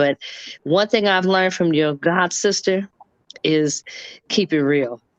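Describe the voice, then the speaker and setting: In a quiet background, a woman with an American accent talks at a fairly slow pace and fairly low pitch with ordinary pitch variation, in a dry, close sound with no echo. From Los Angeles, US West Coast. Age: 60s. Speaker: guest in online discussion. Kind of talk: testimony. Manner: animated.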